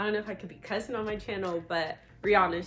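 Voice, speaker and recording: Over music in the background, a woman talks at a medium pitch. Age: 20s. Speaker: vlogger. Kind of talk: casual chat. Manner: animated.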